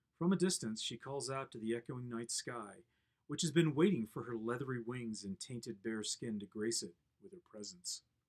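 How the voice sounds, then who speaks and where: A man speaks in a plain, everyday voice with lively intonation and big swings in loudness. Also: medium pitch for a man, moderate pace, dry, close sound with no echo. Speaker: poet. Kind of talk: poetry reading.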